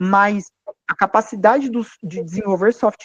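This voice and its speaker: High pitch from a man, the sound dry and close without any echo. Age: 30s. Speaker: financial firm founder. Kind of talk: panel talk to students. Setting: university event. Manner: hesitant fillers.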